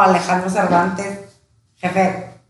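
A woman at a fairly slow pace, with audible room echo. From Tijuana, Mexico (born in León, Guanajuato). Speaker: podcast co-host, real estate director, former radio presenter. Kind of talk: casual chat.

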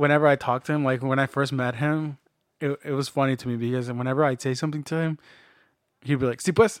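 Talking very fast at a fairly high pitch, a man comes through in a dry, close sound with no echo. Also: fairly even intonation, very clean recording, silent background. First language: Spanish. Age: 30s. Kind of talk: casual chat.

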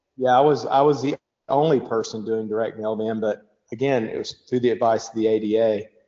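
Fairly even intonation and a medium pitch mark this man's fairly quick speech. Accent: Kentucky. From Western Kentucky, Bowling Green. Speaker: dentist. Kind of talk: podcast interview.

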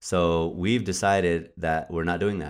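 Very slow speech with ordinary pitch variation, on a very clean recording with a silent background. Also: man. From New Mexico, Albuquerque. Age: 30s. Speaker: podcast host, poet. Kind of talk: casual chat.

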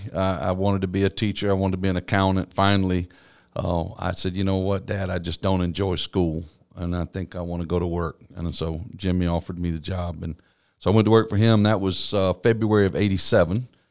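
With a Texan accent, a man speaks at a fairly quick pace with very deep, low pitch and fairly even intonation. The recording is very clean, with a silent background. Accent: Texan Southern US. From East Texas. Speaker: pastor. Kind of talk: interview.

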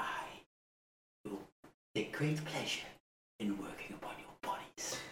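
A put-on character voice at a moderate pace, low in pitch, with a slight echo. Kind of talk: horror villain. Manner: menacing, cold, contemptuous.

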